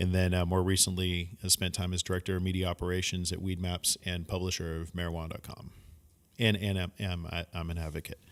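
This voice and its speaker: A man with an American accent, very deep and low in pitch, monotone and flat, very fast, on a very clean recording with a silent background. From US West Coast (San Francisco). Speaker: cannabis industry media professional. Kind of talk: casual chat.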